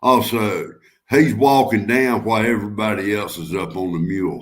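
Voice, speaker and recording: With a Southern US accent, a man speaks at a moderate pace in a fairly low pitch, showing ordinary pitch variation against audible room echo. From North Carolina. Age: 60s. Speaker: guest on a live stream. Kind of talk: casual chat.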